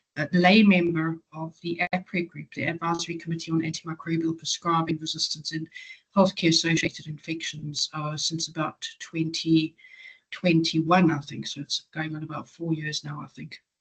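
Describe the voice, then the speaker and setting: Somewhat breathy and fairly low, a woman's voice stays monotone and flat in intonation while swinging widely in loudness, with a dry, close sound and no echo. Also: moderate pace. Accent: South African. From South Africa, Johannesburg. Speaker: patient advocate. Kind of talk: webinar talk. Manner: hesitant, many fillers.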